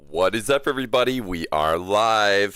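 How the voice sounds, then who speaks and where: A man speaks with ordinary pitch variation. There is music in the background. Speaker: gaming streamer. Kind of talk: live gameplay stream chat. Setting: livestream. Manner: casual, hesitant with fillers.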